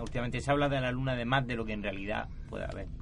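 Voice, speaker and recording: Talking at a very fast pace, a man is heard through noticeable background noise and audible room echo. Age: 50s. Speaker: panel guest on mystery radio debate. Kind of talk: panel debate.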